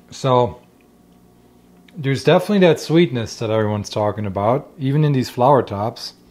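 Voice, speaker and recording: With lively intonation and a fairly quick pace, a man at medium pitch talks between long, frequent pauses. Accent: German. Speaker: forager and food vlogger. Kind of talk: casual cooking vlog. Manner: casual and chatty.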